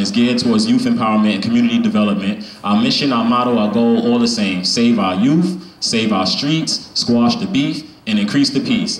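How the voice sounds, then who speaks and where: A man speaks at a fairly quick pace with ordinary pitch variation. The room echo is audible. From Brownsville, Brooklyn, New York. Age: 30s. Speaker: spoken word poet and youth organizer. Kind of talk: open mic spoken word talk. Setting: stage with audience and microphone. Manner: casual, filler-heavy. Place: shop. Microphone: handheld.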